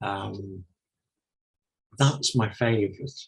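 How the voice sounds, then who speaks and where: With an English accent, a man speaks very slowly at a medium pitch, somewhat breathy, with ordinary pitch variation. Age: 70s. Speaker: retired minister and novelist. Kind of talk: interview.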